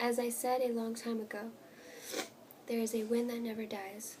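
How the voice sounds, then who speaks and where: A woman's gentle tone at a fairly high pitch, over noticeable background noise. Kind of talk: ASMR page-flipping, soft spoken reading aloud. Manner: soft, gentle, whispered.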